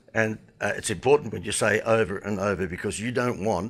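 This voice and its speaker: With an Australian accent, a man talks at a fairly quick pace in a fairly low pitch, his intonation fairly even. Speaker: marketing consultant. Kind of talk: online business presentation.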